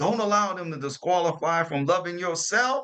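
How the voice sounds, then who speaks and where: An animated tone in a New Orleans accent. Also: man. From New Orleans, Louisiana. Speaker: motivational podcast host. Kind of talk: motivational talk. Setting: hotel room while traveling.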